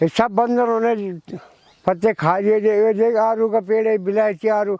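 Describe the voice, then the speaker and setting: A man speaks in a high pitch with fairly even intonation. His loudness stays very even. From Uttarakhand, Pauri Garhwal. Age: 60s. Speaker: villager. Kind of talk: documentary interview.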